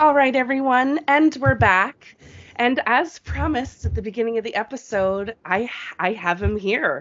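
A woman talks with an ordinary speaking voice and lively intonation. Her pace is moderate. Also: fairly high pitch for a woman. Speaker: wrestling podcast host. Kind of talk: radio DJ patter: bubbly, upbeat show-host banter.

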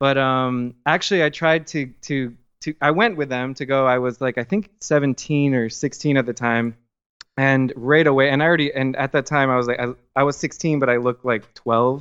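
A man with an American accent and an unremarkable speaking voice, at a moderate pace with fairly even intonation. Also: medium pitch for a man. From Miami, Florida. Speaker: filmmaker guest. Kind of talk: casual interview.

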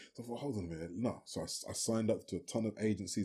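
A man with a British accent speaks in a dark, mellow tone on a very clean recording with a silent background. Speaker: singer and actor. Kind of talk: interview, conversational.

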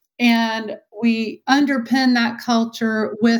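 A woman speaks in a Texan accent. Her intonation is monotone and flat. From Texas. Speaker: retail marketing and IT executive. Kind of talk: interview.

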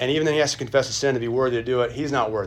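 Audible room echo surrounds a man speaking at a medium pitch with fairly even intonation. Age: 40s. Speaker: pastor teaching a church class. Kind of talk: Sunday school lecture. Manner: halting.

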